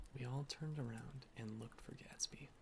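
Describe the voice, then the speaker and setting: A soft-spoken man whispering at a fairly quick pace. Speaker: ASMR reader. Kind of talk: soft-spoken ASMR book reading. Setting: home recording with ambient rain and fireplace sounds. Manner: soft-spoken, whispered.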